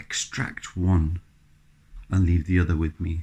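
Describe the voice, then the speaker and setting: Very slowly, a man speaks in a very deep, low pitch, his dark, mellow tone somewhat breathy. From Bolton, northern England. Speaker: interviewee. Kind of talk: personal reflection interview. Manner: halting.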